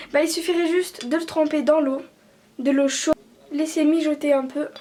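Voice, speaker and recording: A woman speaks at a fairly slow pace in a high pitch with fairly even intonation. Noticeable background noise is present. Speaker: beauty vlogger. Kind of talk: casual tutorial vlog.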